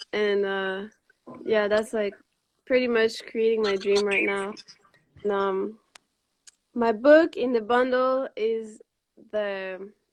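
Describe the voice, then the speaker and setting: A woman's fairly high voice with a Quebec accent, fairly even intonation, a very slow pace and long, frequent pauses. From Montreal, Quebec, Canada. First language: French. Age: 20s. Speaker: raw vegan cookbook author. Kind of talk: live video interview. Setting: live stream video call.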